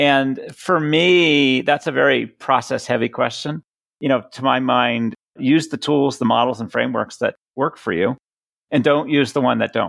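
Man's medium-pitched voice with an American accent and vocal fry, moderate pace, ordinary pitch variation, and a dry, close sound with no echo. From Boston. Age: 50s. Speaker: product leadership coach and speaker. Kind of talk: interview. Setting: call.

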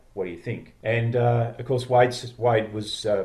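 With an Australian accent, a man speaks at a moderate pace in a somewhat breathy, dark, mellow tone at medium pitch. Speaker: podcast founder. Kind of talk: casual chat. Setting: video call.

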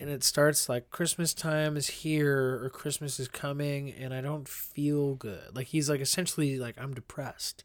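An ordinary speaking voice from a man with an American accent, fairly high in pitch, at a moderate pace with fairly even intonation. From Indiana, Pennsylvania (western Pennsylvania). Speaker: podcast co-host and musician. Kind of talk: casual chat.

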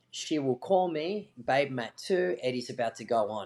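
With an Australian accent, a man talks at a moderate pace in a fairly high pitch. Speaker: jiu-jitsu coach and podcast co-host. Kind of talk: casual chat, interview. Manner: loud, animated when coaching.

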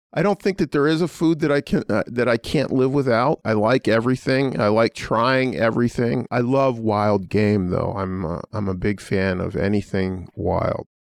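A man with an American accent and an unremarkable speaking voice, medium in pitch, at a moderate pace with hardly any pauses and lively intonation, in a dry, close sound with no echo and a quiet background. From Pittsburgh, US. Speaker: law school dean. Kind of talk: interview.

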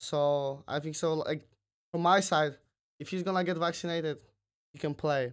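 On a very clean recording with a silent background, a man speaks at a fairly high pitch and moderate pace. His intonation is fairly even, broken by long, frequent pauses. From Poland. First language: Polish. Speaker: college tennis player and company intern. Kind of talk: casual chat. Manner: halting, many repetitions.

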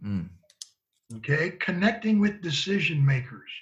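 With an American accent, a man speaks at a high pitch with lively intonation. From Michigan, Ann Arbor. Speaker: former football scout and college coach. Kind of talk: interview conversation.

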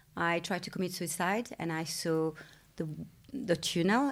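The recording is very clean, with a silent background. A woman talks there at a fairly low pitch. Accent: French. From France. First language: French. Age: 40s. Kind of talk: interview. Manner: halting, with many fillers.

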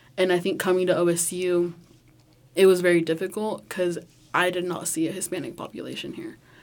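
With an American accent, a woman speaks at a fairly quick pace in an ordinary speaking voice. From rural Oklahoma. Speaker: university student.

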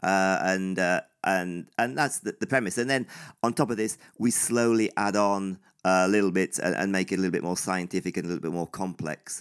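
At a fairly quick pace, a man speaks with a very deep, low pitch and ordinary pitch variation. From northeast England. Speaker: running coach. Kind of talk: interview. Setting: remote call. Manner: halting.

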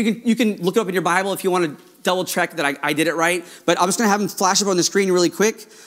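A man's high pitch, very fast pace and ordinary pitch variation. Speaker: pastor. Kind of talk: sermon. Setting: church. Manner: fast talker, excitable.

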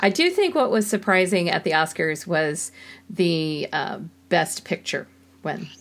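An ordinary speaking voice from a woman with medium pitch and ordinary pitch variation, at a fairly slow pace. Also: very clean recording, silent background. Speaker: podcast co-host. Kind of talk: casual chat.

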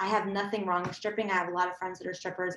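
A woman with an American accent has an unremarkable speaking voice, medium in pitch with ordinary pitch variation. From Southern California. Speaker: solo show performer and coach. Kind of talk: casual chat.

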